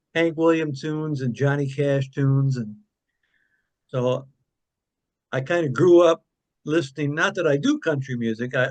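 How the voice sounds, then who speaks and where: A man's medium-pitched voice in an Upper Midwest accent, at a fairly slow pace with fairly even intonation. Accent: Upper Midwest American. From Michigan (Kalamazoo). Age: 70s. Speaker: singer-songwriter. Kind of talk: interview. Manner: casual, rambling with fillers.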